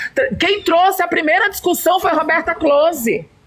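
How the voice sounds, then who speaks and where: A woman's extremely high, animated voice at a moderate pace, with ordinary pitch variation and noticeable background noise. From Brazil, São Luís do Maranhão. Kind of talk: heated debate.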